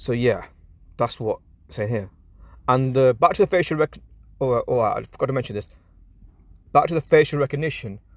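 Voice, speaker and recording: With a non-native accent, a man speaks fairly quickly at a medium pitch, using ordinary pitch variation, big swings in loudness, and long, frequent pauses, all in a dry, close sound with no echo. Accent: foreign-sounding. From England. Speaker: political commentator. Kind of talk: casual commentary. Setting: in a car park. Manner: halting.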